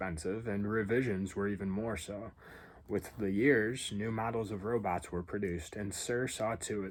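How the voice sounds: Fairly even intonation in a natural reading voice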